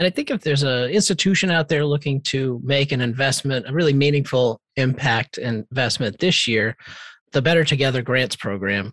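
A man with an ordinary speaking voice talks at a fairly quick pace, his medium pitch showing ordinary pitch variation. The sound is dry and close with no echo, in a very clean recording with a silent background. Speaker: podcast co-host. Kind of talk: casual podcast chat, year-in-review.

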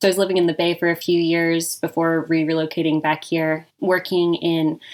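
With an American accent, a woman speaks at a moderate pace in a fairly low pitch and fairly even intonation. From Nevada, Reno. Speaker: business consultant. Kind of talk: interview.

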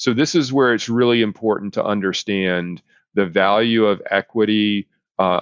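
A man in an American accent has a plain, everyday voice with a fairly low pitch, fairly even intonation, and a moderate pace. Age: 50s. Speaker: business consultant podcast host. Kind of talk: solo business podcast, educational monologue.

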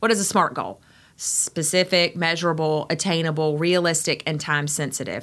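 This woman speaks in an Eastern North Carolina accent. Her tone is animated. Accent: Eastern North Carolina Southern. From Eastern North Carolina, Greenville. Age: 40s. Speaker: physician. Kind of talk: casual interview.

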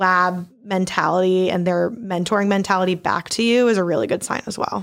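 A woman with an unremarkable speaking voice talks fairly quickly at medium pitch with fairly even intonation. The recording is very clean, with a silent background. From Maryland, US (Baltimore). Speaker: PhD student. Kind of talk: casual interview.

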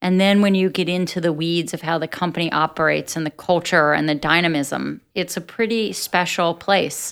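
A woman with an ordinary speaking voice, fairly low in pitch with fairly even intonation, at a moderate pace with hardly any pauses, on a very clean recording with a silent background. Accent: American. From US, New Jersey (Atlantic City). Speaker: business executive. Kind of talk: interview.

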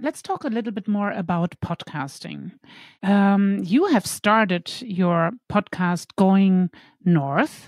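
Speaking at a very slow pace, a woman with a medium pitch and ordinary pitch variation sounds somewhat breathy in a very clean recording with a silent background and a dry, close sound with no echo. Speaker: podcast host. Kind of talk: interview with scripted intro.

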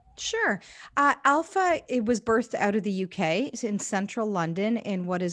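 This woman speaks with a Canadian accent in a normal speaking voice, pitched in the medium range. Her pace is moderate, and the background is quiet. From Canada, Indian immigrant family. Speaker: evangelism ministry worker. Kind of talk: interview conversation.

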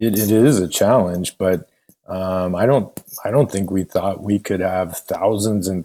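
A man with a Californian accent speaks at a fairly slow pace and a fairly low pitch. His tone is dark and mellow, and his intonation fairly even. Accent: General American (California). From US West Coast, San Francisco Bay Area. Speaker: bank executive. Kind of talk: interview. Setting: at home, remote call.

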